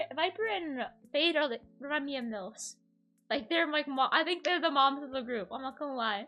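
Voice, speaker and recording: Over music in the background, a woman with a high pitch speaks with lively intonation. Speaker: vtuber podcast host. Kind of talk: casual chat. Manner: animated; fast.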